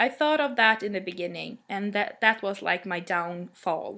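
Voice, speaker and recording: On a very clean recording with a silent background, a woman with a Swedish accent speaks with lively intonation. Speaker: music blogger. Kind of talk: casual vlog monologue. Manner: halting, many fillers.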